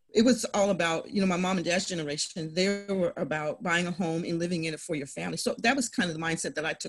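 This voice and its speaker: Fairly low in pitch, a woman speaks at a very fast pace with ordinary pitch variation and hardly any pauses. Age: 50s. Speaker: real estate investor. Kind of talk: interview. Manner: animated.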